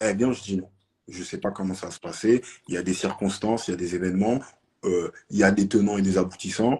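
A fairly quick pace with big swings in loudness. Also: man, fairly low pitch for a man. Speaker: debate participant. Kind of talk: heated debate. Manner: animated. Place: home room. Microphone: phone near.

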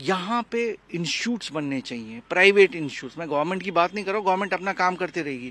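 Bright, sharp tone at a moderate pace, with lively intonation, hardly any pauses and a dry sound with no echo. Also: man, high pitch for a man. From Kashmir. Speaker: Kashmiri Pandit, terror victim's son; interviewee. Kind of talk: panel discussion. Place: garden. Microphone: handheld.

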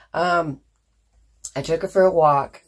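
A woman speaking at a fairly slow pace. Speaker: crochet vlogger. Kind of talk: casual chat.

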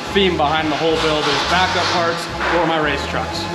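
Loud background noise surrounds a man as he talks. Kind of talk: interview answer. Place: garage. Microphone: camera far.

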